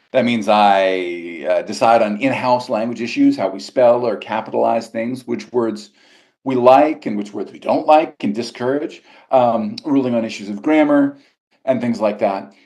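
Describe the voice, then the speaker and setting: A man's normal speaking voice, medium in pitch, with an American accent, lively intonation and a moderate pace. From US South, Georgia. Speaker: magazine language editor and journalist. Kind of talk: interview.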